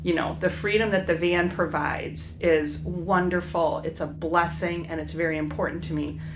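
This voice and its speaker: With an American accent, a woman talks at a moderate pace with hardly any pauses, amid noticeable background noise and audible room echo. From US Midwest, Chicago inner city. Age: 60s. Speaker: educator and van-life vlogger. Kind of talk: casual vlog monologue. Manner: halting, many fillers.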